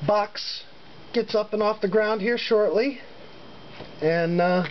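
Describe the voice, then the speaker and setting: Noticeable noise sits in the background. The delivery is fairly slow. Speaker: hobbyist lock picker. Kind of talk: casual show-and-tell video. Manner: halting, many fillers.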